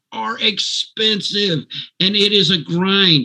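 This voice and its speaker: A man's raised, projected voice, high in pitch, with a bright, sharp tone. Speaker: network marketing promoter. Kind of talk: sales pitch. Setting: video call. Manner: animated.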